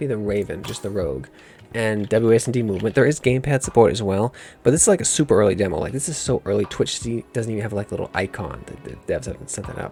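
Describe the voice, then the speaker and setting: Over music in the background, a man speaks at a very fast pace with lively intonation. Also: medium pitch for a man, big swings in loudness. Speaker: gaming video creator. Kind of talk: gameplay commentary. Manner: casual, halting with restarts.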